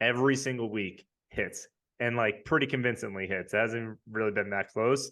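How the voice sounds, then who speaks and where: With a slight Long Island accent, a man speaks in fairly even intonation. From New York, Long Island. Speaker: fantasy football league member. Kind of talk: casual interview. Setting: podcast.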